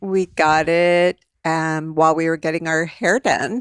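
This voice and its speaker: A normal speaking voice at a fairly slow pace, with fairly even intonation and a dry, close sound that has no echo. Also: woman, very clean recording, silent background. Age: 60s. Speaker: podcast host's mother. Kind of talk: casual chat.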